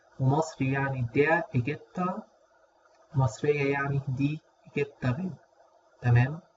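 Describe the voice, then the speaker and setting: A man speaks at a fairly high pitch, somewhat breathy, with fairly even intonation. His pace is fairly slow, with long, frequent pauses. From Egypt. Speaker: language teacher. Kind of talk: tutorial.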